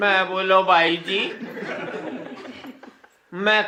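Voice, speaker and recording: With a Haryanvi accent, the voice is raised and projected, its pitch varying in an ordinary way. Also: man. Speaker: comic poet. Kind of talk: comic poetry performance.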